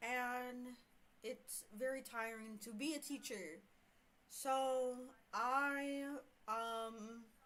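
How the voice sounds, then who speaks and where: This woman has an American accent and a high pitch, with a bright, sharp tone. She talks at a very slow pace with long, frequent pauses and fairly even intonation. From US South, Houston. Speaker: streamer reading online horror stories. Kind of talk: casual livestream storytelling. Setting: livestream. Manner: hesitant, many fillers.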